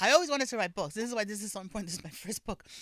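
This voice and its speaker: Talking at a very fast pace in a New York accent, a woman uses lively intonation on a very clean recording with a silent background. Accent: New York Bronx. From New York, Bronx. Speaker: author and public official. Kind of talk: podcast interview.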